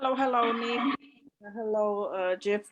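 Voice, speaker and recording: In a Polish accent, a woman speaks with a fairly high pitch and fairly even intonation. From Poland. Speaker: audience member. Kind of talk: casual chat.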